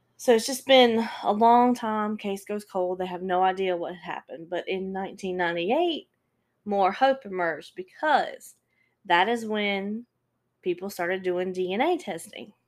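In a very clean recording with a silent background, a woman with an ordinary speaking voice at medium pitch talks at a moderate pace, using ordinary pitch variation and big swings in loudness. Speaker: true crime podcast host. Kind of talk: casual storytelling monologue. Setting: solo podcast recording.

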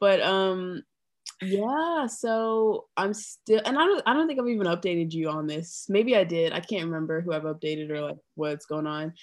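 A woman with a normal speaking voice talks at a moderate pace and medium pitch. Her intonation is lively, and the background is quiet. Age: 20s. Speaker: podcast co-host. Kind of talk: casual chat.

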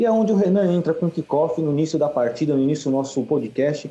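Speaking at a fairly quick pace, a man uses a normal speaking voice, fairly high in pitch, with ordinary pitch variation. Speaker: football podcast host. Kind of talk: casual chat. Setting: virtual recording session.

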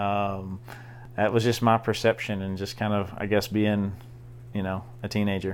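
This man's voice is fairly low and moderately paced. He talks in a monotone, flat intonation. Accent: Southern US. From US South, southeast Arkansas. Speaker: college ministry director. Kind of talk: casual chat.

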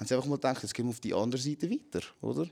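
A man's medium-pitched voice shows ordinary pitch variation on a very clean recording with a silent background. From Switzerland, Zurich. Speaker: MMA fighter. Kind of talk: casual chat.

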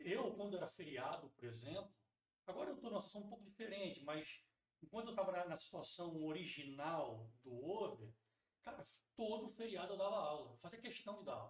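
The speaker is a man with a high pitch. He moves at a fairly quick pace, his pitch swinging very widely. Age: 40s. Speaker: teacher and school founder. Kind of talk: casual interview.

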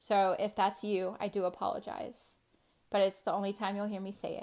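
A woman with an American accent speaks at a medium pitch in a dark, mellow tone. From US South, North Carolina. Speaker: podcast host. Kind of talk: personal testimony.

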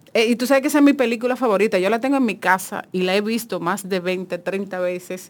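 A woman of medium pitch races along at a very fast pace, her pitch varying in an ordinary way. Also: hardly any pauses. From Dominican Republic, Monte Plata. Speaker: journalist. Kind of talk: casual chat.

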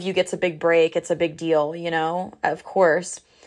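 This woman's voice sits at a fairly low pitch. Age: 20s. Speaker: podcast host and emerging artist. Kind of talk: solo casual monologue. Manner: chatty, filler-heavy.

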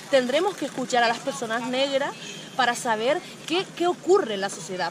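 A high-pitched woman's voice with lively intonation at a moderate pace, against noticeable background noise. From Canary Islands, Spain. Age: 30s. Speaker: touring cyclist and feminist blogger. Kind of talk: interview.

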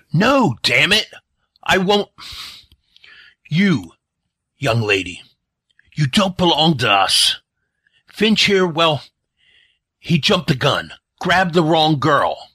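A man puts on a raspy character voice at a fairly high pitch, with very wide pitch swings and very even loudness. He speaks at a fairly slow pace with long, frequent pauses. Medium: audio drama. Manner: cranky, sarcastic, swearing.

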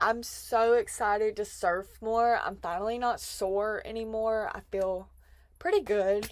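In a very clean recording with a silent background, a woman with a Southern US accent speaks in an animated tone at a fairly high pitch. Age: 20s. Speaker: podcast host. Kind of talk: casual monologue.

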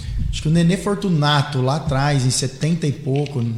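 Noticeable background noise sits behind a man with a fairly high pitch. He talks at a moderate pace with fairly even intonation. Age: 30s. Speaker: mayor-elect, businessman. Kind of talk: casual interview. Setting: live podcast studio.

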